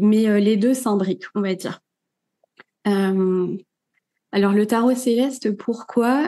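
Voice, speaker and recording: A woman's fairly high voice carries a dark, mellow tone. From Normandy, France. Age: 30s. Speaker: tarot reader and content creator. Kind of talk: podcast interview. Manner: casual, many fillers.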